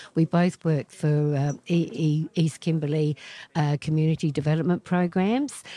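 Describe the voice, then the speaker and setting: In an Australian accent, a woman speaks with a very deep, low pitch and a dark, mellow tone, at a moderate pace with fairly even intonation and very even loudness, in a dry, close sound with no echo. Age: 70s. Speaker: author. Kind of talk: interview.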